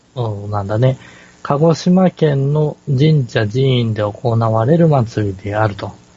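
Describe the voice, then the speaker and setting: Noticeable background noise behind a man's fairly slow, medium-pitched speech. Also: ordinary pitch variation. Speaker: podcast co-host. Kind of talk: casual chat. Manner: hesitant, many fillers.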